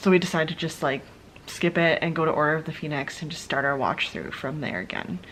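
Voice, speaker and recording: With noticeable background noise behind her, a woman talks at a very fast pace. Her very deep, low voice has ordinary pitch variation. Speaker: book vlogger. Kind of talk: casual vlog talk. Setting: at home late at night. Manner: whispering, soft.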